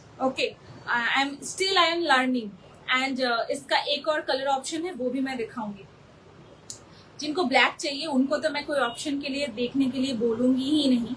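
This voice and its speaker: A woman with a high voice and a Bengali accent speaks with ordinary pitch variation. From Bengal, India. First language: Bengali (speaking Hindi). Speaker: online saree seller. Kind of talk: live sales pitch. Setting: live video stream. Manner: animated.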